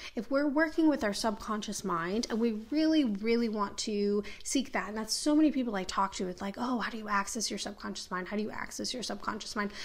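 A woman with fairly high pitch, animated tone, fairly quick pace and hardly any pauses, over noticeable background noise. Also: ordinary pitch variation. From Minneapolis, US Midwest. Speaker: podcast host and spiritual teacher. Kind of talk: monologue rant.

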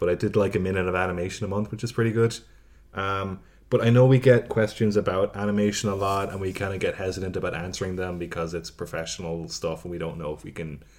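A man talks with a very deep, low pitch. He goes at a fairly quick pace with ordinary pitch variation. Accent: Irish. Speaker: podcast co-host. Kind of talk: casual banter.

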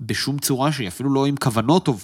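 This man speaks at a medium pitch and a very fast pace, on a very clean recording with a silent background. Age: 30s. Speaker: podcast host. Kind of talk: casual chat.

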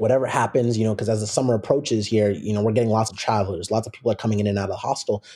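On a very clean recording with a silent background, a man speaks at medium pitch in a dark, mellow tone that is somewhat breathy. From US Pacific Northwest, Seattle. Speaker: professional soccer player. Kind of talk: casual interview.

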